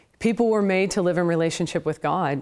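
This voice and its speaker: With a West Coast accent, a woman talks at a fairly low pitch with ordinary pitch variation on a very clean recording with a silent background. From US Pacific Northwest, Portland, Oregon area. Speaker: apologetics professor and author. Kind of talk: interview testimony.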